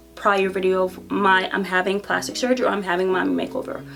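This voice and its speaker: Over noticeable background noise, a woman talks at a fairly quick pace with a medium pitch. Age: 30s. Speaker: beauty vlogger. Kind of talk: casual vlog monologue. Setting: home office. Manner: fast.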